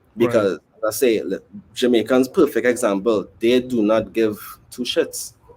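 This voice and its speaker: At a moderate pace, a man with a Trinidadian accent speaks at a medium pitch with fairly even intonation. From Trinidad and Tobago. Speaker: musician. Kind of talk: casual chat.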